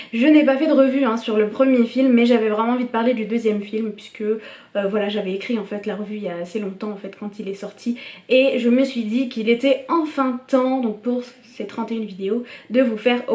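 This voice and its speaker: A woman's fairly high voice at a moderate pace, fairly even in intonation, with noticeable background noise. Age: 20s. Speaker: YouTuber film reviewer. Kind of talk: casual vlog review. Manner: casual, with many fillers.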